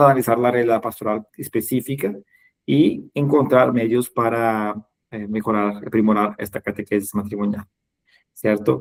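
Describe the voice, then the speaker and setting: In a Portuguese accent, a man speaks at a fairly slow pace and medium pitch with monotone, flat intonation, in a dry, close sound with no echo. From Brazil. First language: Portuguese (speaking Spanish). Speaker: webinar host, catechesis trainer. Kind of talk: online webinar closing remarks. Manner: halting, many fillers.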